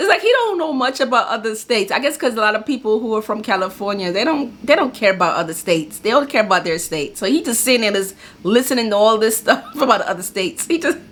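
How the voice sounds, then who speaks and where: Lively intonation from a woman at a very fast pace, with noticeable background noise. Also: fairly high pitch for a woman. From New York. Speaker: YouTube reaction video host. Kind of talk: casual reaction commentary.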